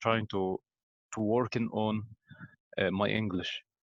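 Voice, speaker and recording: A man with an Egyptian accent at a fairly slow pace. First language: Arabic. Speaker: pharmacy student and English learner. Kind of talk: casual interview. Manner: halting, many fillers.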